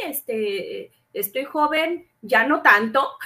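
The voice has a bright, sharp tone and swings very widely in pitch. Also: woman. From Mexico City. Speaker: scientific researcher. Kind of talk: interview.

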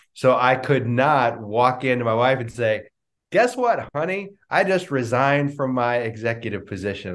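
Against a quiet background, a man talks with lively intonation. His pitch sits in the medium range. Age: 40s. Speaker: life and business coach. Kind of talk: interview.

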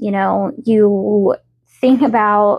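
A woman with a slight Southern US accent, medium in pitch, at a very slow pace. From US South. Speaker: podcast host. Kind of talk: casual solo podcast. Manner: chatty, filler-heavy.

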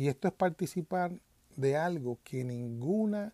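A man with a Puerto Rican accent, a dark, mellow tone, lively intonation and a very slow pace, on a very clean recording with a silent background. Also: dry, close sound with no echo. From Puerto Rico. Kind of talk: religious commentary monologue.

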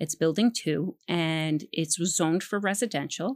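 A woman with an American accent speaks in a normal speaking voice at a moderate pace, with a fairly low pitch and ordinary pitch variation. The recording is very clean with a silent background, and the sound is dry and close with no echo. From New York City, the Bronx. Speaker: political candidate. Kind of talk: interview.

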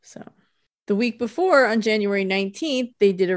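A woman speaks at a moderate pace with lively intonation in an ordinary speaking voice, on a very clean recording with a silent background. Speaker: podcast host. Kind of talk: casual chat.

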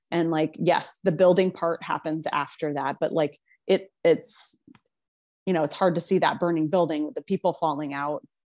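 A woman with a fairly low pitch speaks at a moderate pace and keeps her intonation fairly even. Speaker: podcast co-host. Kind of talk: casual chat. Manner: gentle.

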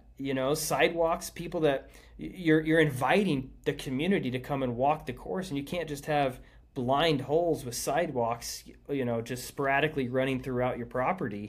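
A man speaks in a plain, everyday voice with an American accent. His pitch is fairly high with ordinary variation, at a moderate pace. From Kansas, Emporia. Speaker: disc golf course designer and former world champion. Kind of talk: casual interview chat.

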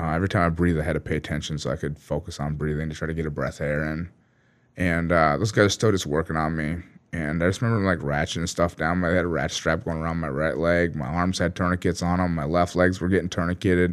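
Very deep and low, a man's voice moves at a very fast pace with fairly even intonation. The recording is very clean with a silent background. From US Minnesota. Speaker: war veteran and author. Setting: studio. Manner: conversational, vivid and halting, with frequent fillers.

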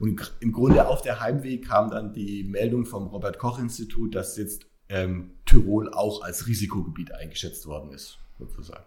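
Somewhat breathy and fairly low in pitch, a man speaks with hardly any pauses, ordinary pitch variation and big swings in loudness. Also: moderate pace. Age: 40s. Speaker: hospital executive and marathon runner. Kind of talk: interview.

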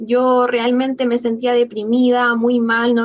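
Noticeable background noise surrounds a woman who speaks at a high pitch and a moderate pace. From Chile. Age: 20s. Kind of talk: casual chat.

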